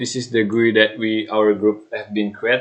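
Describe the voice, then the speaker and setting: A man with an Indonesian accent talks at a medium pitch. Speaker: student. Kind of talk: tutorial. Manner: halting.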